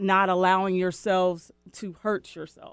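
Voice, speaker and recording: An unremarkable speaking voice, a woman's, medium in pitch, with an American accent at a fairly slow pace, on a very clean recording with a silent background. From US Pacific Northwest, West Seattle. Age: 50s. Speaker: author and recovery coach. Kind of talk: testimony.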